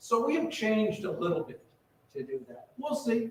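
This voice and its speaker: With audible room echo, a man speaks fairly slowly in a high voice that swings very widely in pitch. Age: 60s. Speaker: retirement community administrator. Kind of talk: town hall meeting presentation. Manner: casual, repetitive with false starts.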